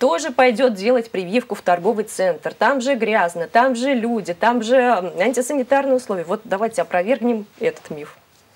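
At a moderate pace, a woman uses an ordinary speaking voice with a fairly high pitch and lively intonation. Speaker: TV host. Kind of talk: live TV studio discussion. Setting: studio. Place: studio. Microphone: lapel.

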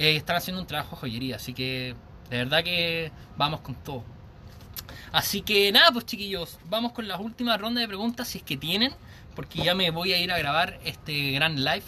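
A man's high-pitched voice at a moderate pace over light background noise. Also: lively intonation. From Chile, Santiago. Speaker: vape reviewer. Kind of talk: live stream product review. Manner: animated. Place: garden. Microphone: phone near.

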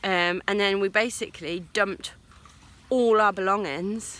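A woman's voice, recorded dry with no echo, moves with fairly even intonation. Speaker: sailing vlogger. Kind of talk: casual vlog chat. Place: garden. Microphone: phone near.

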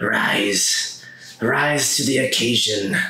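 A man's put-on character voice at a medium pitch, with a slight echo. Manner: cackling.

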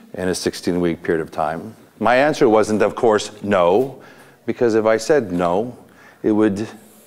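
The background is quiet as a man speaks at a fairly low pitch. His pace is fairly slow, with ordinary pitch variation. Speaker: motivational speaker, coach. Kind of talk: motivational talk to a group. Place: hall. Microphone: lapel.

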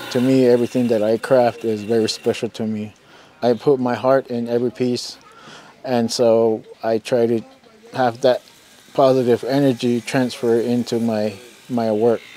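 A man's medium-pitched voice at a moderate pace, flat and monotone, over noticeable background noise. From Zuni Pueblo, New Mexico. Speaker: artisan carver. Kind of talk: interview monologue.

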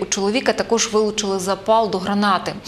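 A woman speaks at a fairly quick pace with a fairly high pitch. She has a plain, everyday voice. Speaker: news anchor. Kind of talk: news reading. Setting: studio. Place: studio. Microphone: lapel.

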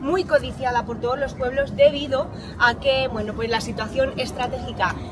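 Crowd noise fills the background. The speaker moves at a moderate pace with ordinary pitch variation. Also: woman, high pitch for a woman. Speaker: tour guide. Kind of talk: guided tour explanation. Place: street.

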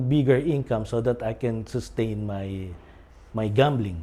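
A dark, mellow tone with ordinary pitch variation. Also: man. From Philippines. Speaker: recovering gambling addict and recovery coach. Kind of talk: testimony.

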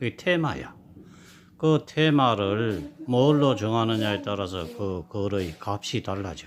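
At a very slow pace, a man speaks in a fairly low pitch with very wide pitch swings. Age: 70s. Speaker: playwriting teacher. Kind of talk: classroom lecture.

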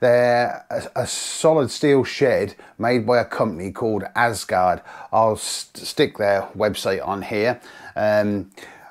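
A man at a very slow pace, with ordinary pitch variation and a quiet background. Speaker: angler vlogger. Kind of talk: casual vlog chat. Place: home room.

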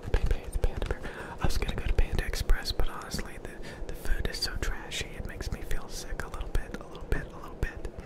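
A soft-spoken man at a very fast pace over loud background noise. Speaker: streamer. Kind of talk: casual vlog chat. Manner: soft close-mic ASMR talk. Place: home room. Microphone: studio mic.

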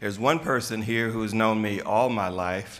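A man speaks fairly low with a fairly bright tone. His pitch variation is ordinary and his pace fairly slow.

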